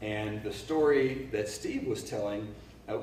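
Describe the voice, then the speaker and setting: A man's voice comes with audible room echo. Noticeable background noise runs underneath. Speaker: leadership speaker and cultural anthropologist. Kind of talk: workshop talk. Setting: live audience, no microphone. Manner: loud, projecting without a mic; hesitant with repeated words. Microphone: no microphone used.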